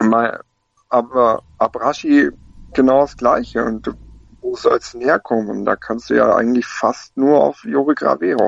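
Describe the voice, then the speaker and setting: The sound is dry and close, with no echo. Delivery comes at a fairly slow pace. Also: man. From Lake Constance area, Germany. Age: 20s. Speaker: football fan pundit. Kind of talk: casual chat.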